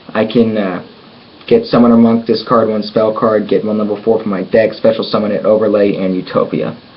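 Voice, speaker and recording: Fairly quick male speech, monotone and flat, with noticeable background noise. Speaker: card game YouTuber. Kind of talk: deck showcase tutorial. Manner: halting, many fillers.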